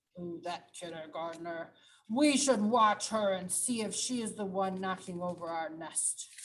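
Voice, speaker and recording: Using a cartoonish character voice at a medium pitch, a woman speaks at a moderate pace with big swings in loudness. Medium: puppet.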